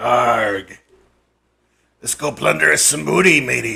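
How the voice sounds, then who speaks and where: A man puts on a raspy character voice. He keeps a fairly slow pace. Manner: playful, exaggerated.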